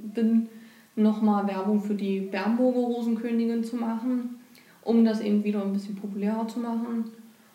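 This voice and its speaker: Delivered at a moderate pace, the flat, monotone speech rings with audible room echo. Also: woman. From Germany, Saxony-Anhalt (Bernburg). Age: 20s. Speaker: local rose queen, trainee in public administration. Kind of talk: podcast interview.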